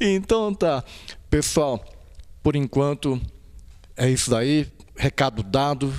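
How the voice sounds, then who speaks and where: Against a quiet background, a man speaks with lively intonation and a fairly high pitch. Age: old. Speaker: YouTube channel host. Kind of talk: casual interview. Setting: on location at a temple. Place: hall. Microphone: handheld.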